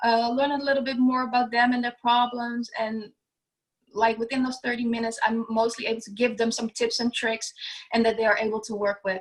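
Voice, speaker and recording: A woman with a fairly high pitch speaks at a fairly quick pace in a flat monotone. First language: not English. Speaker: business owner, declutter coach. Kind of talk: podcast interview. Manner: halting, many fillers.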